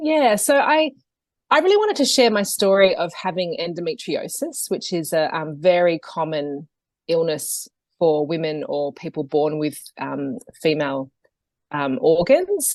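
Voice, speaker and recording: A woman with an Australian accent at a fairly slow pace, against a quiet background. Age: 40s. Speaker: yoga teacher and health coach. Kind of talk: podcast interview. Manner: hesitant, many fillers.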